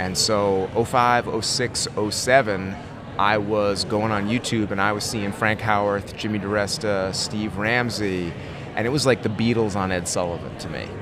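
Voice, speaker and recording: A man with an American accent, fairly low in pitch and fairly slow, amid noticeable background noise and audible room echo. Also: fairly even intonation. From Connecticut, US. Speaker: woodworking YouTuber and author. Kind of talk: casual interview. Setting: convention venue.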